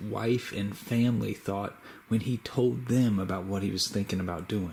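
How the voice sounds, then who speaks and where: A man talks in a plain, everyday voice at a fairly low pitch. His pace is moderate and his pitch varies in an ordinary way. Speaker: YouTuber making a shout-out video.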